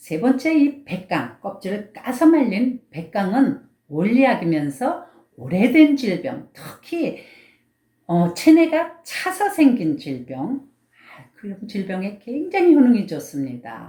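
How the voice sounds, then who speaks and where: A woman with a dark, mellow tone and vocal fry speaks at a fairly high pitch and a very slow pace. Her pitch swings very widely, and so does her loudness. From Gangwon Province, Korea. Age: old. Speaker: Korean medicine doctor. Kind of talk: health advice talk.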